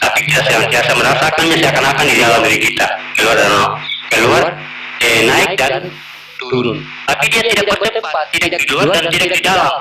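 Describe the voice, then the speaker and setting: Amid audible room echo and noticeable background noise, a man talks at a fairly quick pace, fairly high in pitch with very wide pitch swings yet very even loudness. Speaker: religious teacher. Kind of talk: religious teaching.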